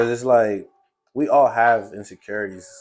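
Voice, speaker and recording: A man talks with an American accent at a medium pitch. Music plays in the background. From US Midwest, Chicago. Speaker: podcast host. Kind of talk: casual chat. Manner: casual.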